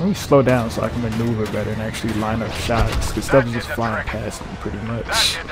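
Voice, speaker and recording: Over music in the background and with audible room echo, a man at medium pitch talks at a fairly quick pace with fairly even intonation and hardly any pauses. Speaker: gaming youtuber. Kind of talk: gameplay commentary. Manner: quieter than usual.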